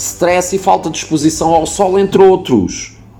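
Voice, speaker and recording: The speaker has a European Portuguese accent. Noticeable background noise runs under the voice. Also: man. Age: 40s. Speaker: fitness blogger. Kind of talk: Q&A podcast monologue.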